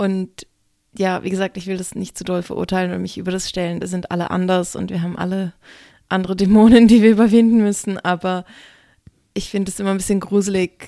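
A woman's dark, mellow voice in a medium pitch, very fast and monotone, with big swings in loudness, in a very clean recording with a silent background. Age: young. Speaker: stripper and burlesque performer, podcast co-host. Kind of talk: casual chat.

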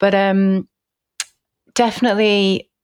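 A woman speaks with an English accent in a very clean recording, the background silent and the sound dry and close with no echo. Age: 40s. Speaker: nutrition and fertility chef. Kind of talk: casual interview chat. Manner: hesitant, many fillers.

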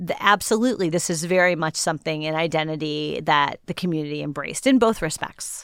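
At a fairly quick pace, a woman with an American accent talks with ordinary pitch variation in a plain, everyday voice on a very clean recording with a silent background. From Cleveland area, Ohio (Shaker Heights). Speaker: journalist and author. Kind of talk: interview.

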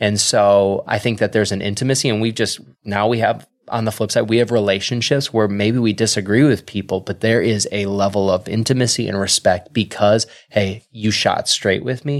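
In a very clean recording with a silent background, a man with a normal speaking voice and an American accent speaks at a moderate pace, his fairly low pitch carried in fairly even intonation. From Wisconsin. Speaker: pastor. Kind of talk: casual interview.

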